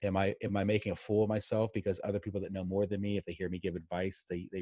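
Against a quiet background, a man with an American accent speaks very fast in a fairly low, dark, mellow voice with monotone, flat intonation. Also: dry, close sound with no echo. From Pittsburgh, US. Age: 40s. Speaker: career coach. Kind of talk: casual interview chat.

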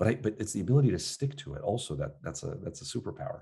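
Very fast and full of very wide pitch swings, a man talks in a dark, mellow tone with vocal fry. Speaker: psychiatrist and sleep doctor. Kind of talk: interview conversation. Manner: frequent fillers and restarts.

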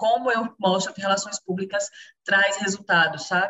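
Speaking at a fairly quick pace, a woman has a normal speaking voice of medium pitch and fairly even intonation. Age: 30s. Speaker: public relations and marketing professional. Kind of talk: casual chat.

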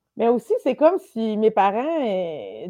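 Against a quiet background, a woman talks with a fairly high pitch and a dark, mellow tone, the sound dry and close with no echo. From Quebec, Lanaudière countryside. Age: 30s. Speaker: comedian. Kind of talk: casual chat.

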